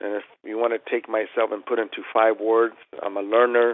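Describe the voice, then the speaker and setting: A man speaks with a Spanish accent. His intonation is monotone and flat. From Chile. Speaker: tailor. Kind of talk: interview.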